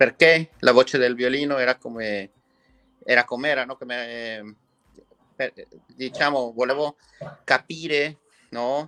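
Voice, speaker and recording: A man with a Spanish accent and a bright, sharp tone speaks at a fairly slow pace and medium pitch with fairly even intonation, big swings in loudness and long, frequent pauses, in a dry, close sound with no echo. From Mexico. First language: Spanish (speaking Italian). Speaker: violin maker. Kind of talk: interview.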